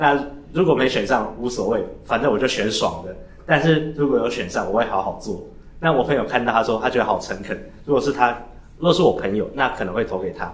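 A man's very fast speech with lively intonation. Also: medium pitch for a man. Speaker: podcast co-host. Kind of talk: casual chat.

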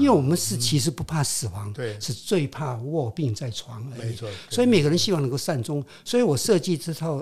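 His voice somewhat breathy, a man moves along at a fairly quick pace with very wide pitch swings. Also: fairly high pitch for a man. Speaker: retired tech executive and writer. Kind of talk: interview. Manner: halting.

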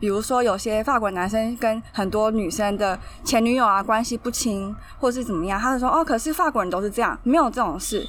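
At a fairly quick pace, an unremarkable speaking voice carries ordinary pitch variation. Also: woman, fairly high pitch for a woman. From Taiwan. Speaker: language blogger. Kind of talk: interview.

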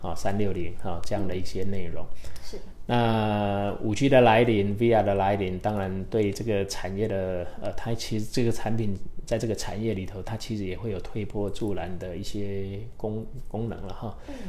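Over audible room echo, a man with a dark, mellow tone speaks at a moderate pace in a monotone, flat intonation. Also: fairly low pitch for a man. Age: 50s. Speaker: tech startup CEO. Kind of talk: interview. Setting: studio. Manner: hesitant, many filler sounds.

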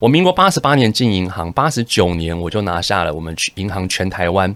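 Very deep and low, a man's voice moves at a moderate pace. The recording is very clean, with a silent background. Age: 40s. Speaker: entrepreneur. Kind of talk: interview.

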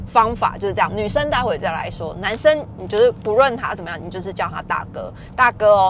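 A woman talks with an animated tone at a fairly quick pace, hardly pausing at all. Her loudness swings widely, and noticeable background noise is present. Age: 40s. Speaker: podcaster. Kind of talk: casual solo monologue.

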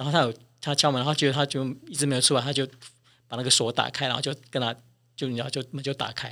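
On a very clean recording with a silent background, a man speaks at a very fast pace but leaves long, frequent pauses. His medium-pitched voice is bright and sharp, with monotone, flat intonation. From Taiwan. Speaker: flight attendant, cabin chief. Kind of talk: interview.

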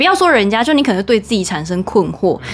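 Her intonation lively, a woman rattles along at a very fast pace. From Taiwan. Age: 20s. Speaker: former radio host. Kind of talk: casual chat. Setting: home bedroom.

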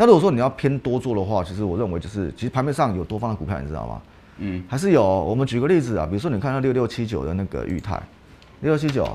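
A man talks at a very fast pace with very wide pitch swings. His tone is dark and mellow, with vocal fry. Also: medium pitch for a man. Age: 40s. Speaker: stock market analyst. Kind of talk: casual chat. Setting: studio. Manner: animated.

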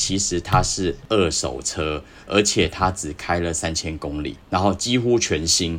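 With vocal fry, this voice moves at a fairly slow pace with hardly any pauses and ordinary pitch variation. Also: man, very deep, low pitch for a man. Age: 40s. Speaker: astrology podcast guest. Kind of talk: casual chat.

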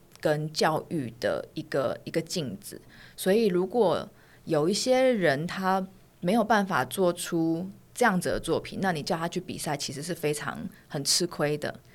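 A woman's fairly low voice with lively intonation and a fairly slow pace, in a very clean recording with a silent background. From Taiwan. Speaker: fashion designer and author. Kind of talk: casual interview. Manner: soft-spoken.

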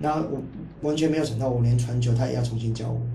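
A man talks at a fairly quick pace at a medium pitch. His pitch variation is ordinary, and there is audible room echo. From Hong Kong. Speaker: university football player. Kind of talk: casual interview. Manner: halting, many repeated words.

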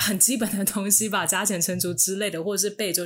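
Using a normal speaking voice, a woman talks at a medium pitch and a fairly quick pace. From Taiwan. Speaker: former international school student. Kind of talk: casual chat.

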